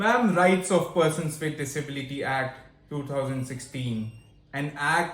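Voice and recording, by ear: A man speaks at a fairly slow pace with a fairly high pitch, and the room gives strong echo.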